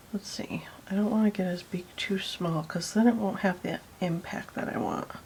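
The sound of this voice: A woman whispers at a moderate pace. Vocal fry runs through her voice.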